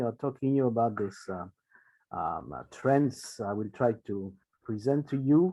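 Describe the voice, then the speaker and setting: The speaker has a French accent. Pitch varies an ordinary amount. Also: man. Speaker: space policy researcher. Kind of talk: lecture. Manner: halting with many fillers.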